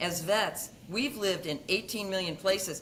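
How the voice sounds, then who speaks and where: With noticeable background noise, a woman speaks at a medium pitch with an American accent. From US Midwest. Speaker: veterinary dermatologist. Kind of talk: podcast interview.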